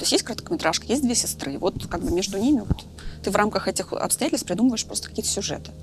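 A woman talking at a very fast pace, with music in the background. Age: 30s. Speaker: film director and screenwriter. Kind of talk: casual chat.

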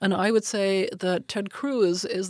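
Her medium pitch clear against a quiet background, a woman speaks. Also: dry, close sound with no echo. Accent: German. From Germany. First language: German. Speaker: foreign and security policy expert. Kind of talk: policy discussion.

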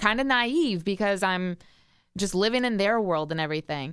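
A woman's unremarkable speaking voice, medium in pitch, with lively intonation, a fairly quick pace and an American accent, on a very clean recording with a silent background. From US Midwest, grew up near the station. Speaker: radio morning show co-host. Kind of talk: casual chat.

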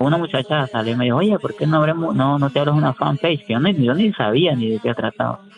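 Against noticeable background noise, a fairly high-pitched man talks very fast with hardly any pauses. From Honduras, raised in the US. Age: 30s. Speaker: prisoner and YouTuber. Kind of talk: interview testimony. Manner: halting, with repetitions.

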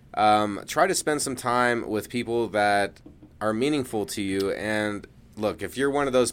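Over a very clean recording with a silent background, a man with an ordinary speaking voice talks at a fairly slow pace, with a fairly low pitch and ordinary pitch variation. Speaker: podcast co-host. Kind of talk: casual comedic podcast banter.

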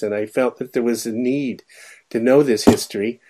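A man with an American accent talks at a moderate pace in a very clean recording with a silent background. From California. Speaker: logician, philosophy professor. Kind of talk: radio interview. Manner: halting, many fillers.

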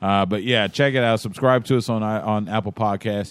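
A man's fairly low-pitched voice with a Texan accent, a fairly quick pace and fairly even intonation. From East Texas. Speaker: sports podcast host. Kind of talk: casual chat.

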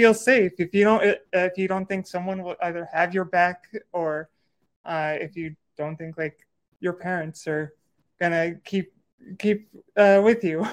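Pausing long and often, a woman with fairly low pitch keeps a fairly even intonation while her loudness swings widely. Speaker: host of a live audio space. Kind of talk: casual moderated chat. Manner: halting, hesitant.

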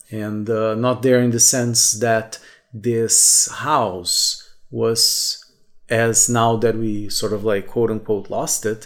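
A man with a Portuguese accent speaks at a very slow pace and medium pitch. His intonation is monotone and flat, and background noise is noticeable. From southern Brazil. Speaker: podcaster. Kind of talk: solo reflective monologue.

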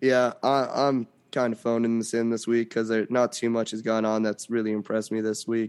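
A man's medium-pitched, monotone voice, flat in intonation, at a fairly quick pace. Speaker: sports podcast co-host. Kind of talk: casual sports chat.

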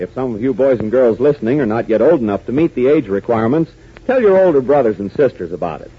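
This man talks at a very fast pace in a dramatic tone. Noticeable background noise runs under his voice. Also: medium pitch for a man. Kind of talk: old-time radio drama announcer narration. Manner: brisk, dramatic, punchy announcer delivery.

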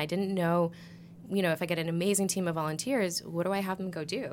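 A woman with an American accent speaks at a very fast pace. Her fairly low voice stays monotone and flat. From Massachusetts. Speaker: nonprofit executive director. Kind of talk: podcast interview.

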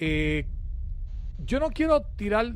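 A very clean recording of a male speaker, the background silent. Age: 40s. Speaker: radio and web show host. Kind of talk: casual talk show. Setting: studio. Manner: animated.

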